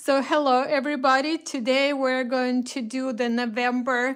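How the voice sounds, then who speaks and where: In a Russian accent, the speaker goes at a very slow pace on a very clean recording with a silent background. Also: woman. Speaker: craft shop host. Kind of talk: live stream product reveal. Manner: hesitant, many fillers.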